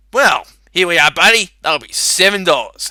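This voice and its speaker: A man puts on a growling, gruff character voice, pitched high. He keeps a moderate pace. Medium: solo performance. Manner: gruff, snarling.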